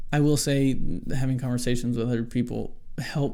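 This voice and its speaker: The tone is dark and mellow, delivered in a monotone, flat way. Audible room echo surrounds the voice. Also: man. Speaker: solo podcaster. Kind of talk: casual monologue on faith. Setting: small hot room. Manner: stutters, halting.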